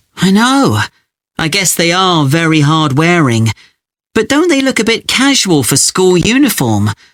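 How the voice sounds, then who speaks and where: Very wide pitch swings mark this man's high voice at a fairly slow pace, his loudness very even. The recording is very clean, with a silent background. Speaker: student. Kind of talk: scripted exam dialogue.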